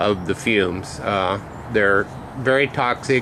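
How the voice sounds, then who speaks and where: Over noticeable background noise, a man with a fairly low pitch speaks at a fairly slow pace with fairly even intonation. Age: old. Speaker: hobbyist metal refiner. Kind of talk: tutorial. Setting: outdoors. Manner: loud; hesitant, many fillers.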